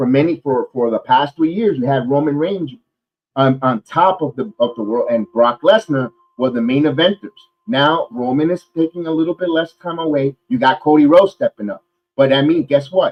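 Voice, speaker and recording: A man with a fairly high pitch talks in an animated tone with lively intonation. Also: moderate pace. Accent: New York. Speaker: wrestling podcast host. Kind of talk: casual chat.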